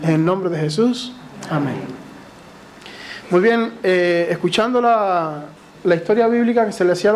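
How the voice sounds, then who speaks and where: Someone with a Cuban accent speaks at a moderate pace over noticeable background noise. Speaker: lay preacher. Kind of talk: sermon. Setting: church. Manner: occasionally tongue-tied.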